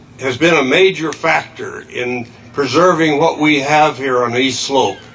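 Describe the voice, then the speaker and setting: Over noticeable background noise, a man with an American accent speaks at a fairly slow pace and a fairly high pitch. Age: 80s+. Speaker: conservation scientist. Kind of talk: rally speech. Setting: outdoor rally with audience. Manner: halting.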